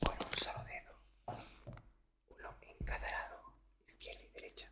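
Loud background noise surrounds a soft-spoken, whispering voice. The pace is moderate. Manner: soft whispered ASMR instruction. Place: home room. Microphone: studio mic.

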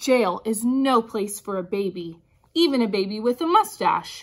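Her voice is fairly high for a woman, with lively intonation. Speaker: kindergarten teacher. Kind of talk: picture book read-aloud for young children. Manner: upbeat, animated. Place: classroom. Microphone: phone near.

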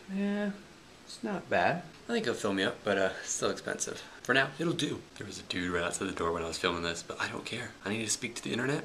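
A man talks very fast while light noise sits in the background. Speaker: college student vlogger. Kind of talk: casual vlog chat. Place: meeting room. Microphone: phone near.

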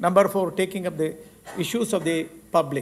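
As the man speaks, his intonation remains fairly even. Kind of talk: formal speech. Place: hall. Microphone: podium.

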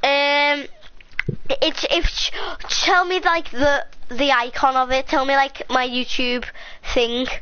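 A woman talks at a very slow pace in a high voice, with ordinary pitch variation. Her loudness stays very even, and there is noticeable background noise. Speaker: YouTube gamer. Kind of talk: casual chat. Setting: home recording with live stream. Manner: rambling, animated.

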